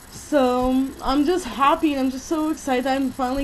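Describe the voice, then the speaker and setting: Noticeable background noise sits behind a woman with an American accent whose high voice keeps a fairly even intonation. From California. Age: 20s. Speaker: vlogger. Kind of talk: personal vlog monologue.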